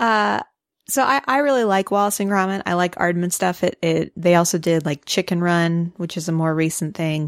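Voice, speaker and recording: A woman with a Midwestern accent speaks at a moderate pace with ordinary pitch variation, her voice dry and close with no echo on a very clean recording over a silent background. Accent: Midwestern twang. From US Midwest. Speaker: podcast co-host. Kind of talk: casual chat. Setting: studio.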